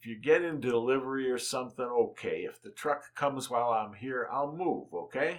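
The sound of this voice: An unforced reading voice comes through here.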